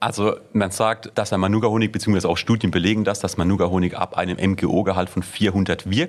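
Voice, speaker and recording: A man with an unremarkable speaking voice talks at a fairly quick pace with hardly any pauses, fairly low in pitch with ordinary pitch variation and very even loudness. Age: 20s. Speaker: startup founder. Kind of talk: interview.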